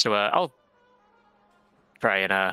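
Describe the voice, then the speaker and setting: Over faint music in the background, a man puts on a character voice with a warm tone and fairly low pitch. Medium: actual play. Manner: warm, chatty, easygoing.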